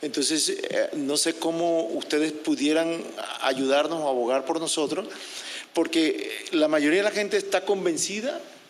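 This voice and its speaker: A man with a high pitch speaks at a fairly quick pace and very even loudness. Noticeable background noise runs underneath. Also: ordinary pitch variation. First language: Spanish. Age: 60s. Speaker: public commenter. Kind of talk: public comment at meeting. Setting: public meeting. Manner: halting.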